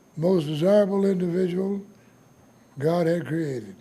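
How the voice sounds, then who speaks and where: A man with an American accent speaks at a fairly slow pace in a high pitch, with audible room echo. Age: 90s. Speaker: war veteran. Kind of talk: speech.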